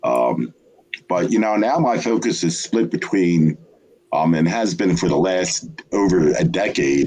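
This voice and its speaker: A man's very deep, low voice with lively intonation and very even loudness, at a fairly slow pace, amid noticeable background noise. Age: 70s. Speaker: poet and publisher. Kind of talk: interview. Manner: hesitant, many fillers.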